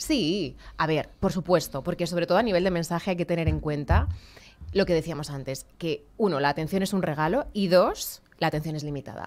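A woman's voice at a moderate pace with ordinary pitch variation. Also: fairly low pitch for a woman. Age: 30s. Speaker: communicator and public speaking trainer; public speaking trainer. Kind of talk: radio interview. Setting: radio/TV studio. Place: studio. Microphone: studio mic.

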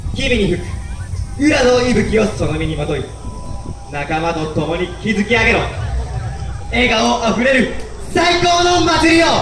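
Against audible room echo and light background noise, a man's voice makes very wide pitch swings, broken by long, frequent pauses. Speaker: dance team MC. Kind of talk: MC announcement and performance call. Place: street.

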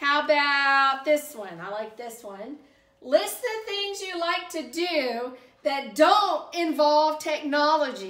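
In a Southern US accent, a woman speaks very slowly in a high, bright, sharp voice, her pitch swinging very widely and her loudness rising and falling in big swings, with audible room echo over a quiet background. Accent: Southern American. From US South. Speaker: YouTuber reviewing subscription boxes. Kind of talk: product unboxing review. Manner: casual, conversational. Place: home room. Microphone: camera far.

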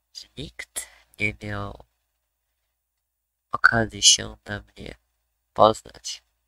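A man puts on a raspy character voice and speaks very slowly. Long, frequent pauses break it up, and the sound is dry and close with no echo. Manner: hesitant, ingratiating, secretive.

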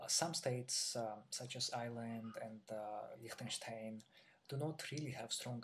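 A man in a Georgian accent at a fairly slow pace, with fairly even intonation over light background noise. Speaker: PhD graduate. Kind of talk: interview answer. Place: home room. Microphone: webcam.

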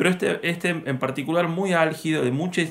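A man speaks fairly quickly, his intonation lively. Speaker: film museum presenter. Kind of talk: casual spoken film introduction. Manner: hesitant, many fillers. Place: home room. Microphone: webcam.

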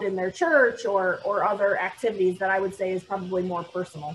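With an American accent, a woman talks over light background noise. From Michigan, near Toledo; Michigan. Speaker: architect, firm owner; panelist. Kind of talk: panel discussion on video call. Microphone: video call.

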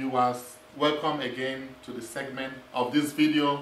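The speaker is a man. Room echo can be heard. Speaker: math instructor. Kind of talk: lecture. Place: classroom.

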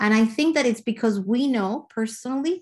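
Against a quiet background, a woman speaks at a fairly high pitch, somewhat breathy, with ordinary pitch variation. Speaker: school administrator. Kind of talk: bilingual school orientation presentation. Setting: video call. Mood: warm, reassuring. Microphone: video call.

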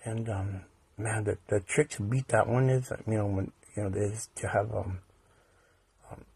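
Somewhat breathy and fairly low in pitch, a man speaks at a fairly slow pace with fairly even intonation and long, frequent pauses. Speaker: conspiracy video vlogger. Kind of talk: casual monologue. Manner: halting, many fillers and repetitions.

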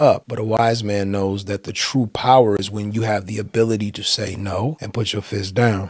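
At a moderate pace, a man with a fairly low pitch speaks in a dry sound with no echo and a quiet background. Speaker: pastor. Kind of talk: motivational sermon-style talk to camera. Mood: earnest, calm, persuasive. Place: home room.

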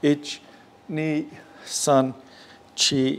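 A man speaks with a monotone, flat intonation. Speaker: karate instructor. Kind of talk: workout instruction counting. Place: gym. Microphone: lapel.

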